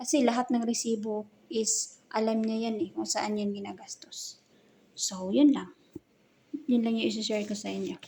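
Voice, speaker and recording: A woman with an ordinary speaking voice talks at a moderate pace, her fairly high pitch held in fairly even intonation. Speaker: vlogger. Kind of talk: casual vlog narration. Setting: walking through a mall.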